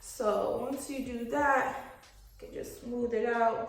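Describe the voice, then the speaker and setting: The clip has noticeable background noise along with audible room echo. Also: woman. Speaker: beauty vlogger. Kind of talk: hair tutorial. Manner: casual, filler-heavy.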